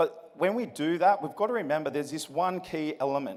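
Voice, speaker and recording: Amid noticeable background noise, a man talks at a fairly quick pace in a high pitch. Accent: Australian. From Australia, Sydney. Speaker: motivational speaker. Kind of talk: keynote speech. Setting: stage with large audience. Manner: energetic, addresses crowd with questions.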